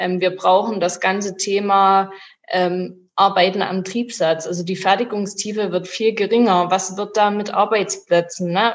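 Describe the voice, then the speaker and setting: Here a woman speaks at a fairly slow pace. Her intonation is monotone and flat. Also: medium pitch for a woman. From Bavaria. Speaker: car factory worker and union activist. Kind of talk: panel discussion. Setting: video call.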